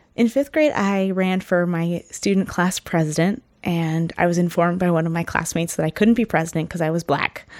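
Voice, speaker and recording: This woman has a fairly low pitch and a Northern California accent. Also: ordinary pitch variation. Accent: Northern California American. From Ukiah, California (adopted from Brazil as a baby). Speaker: singer and teacher. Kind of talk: interview. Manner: hesitant, many fillers.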